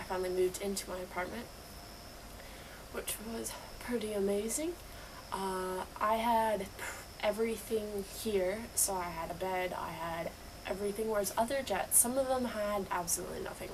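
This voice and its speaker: A woman talks at a moderate pace and medium pitch, her intonation fairly even, with noticeable background noise behind her. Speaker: English teacher on exchange program in Japan. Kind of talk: casual vlog talk to camera.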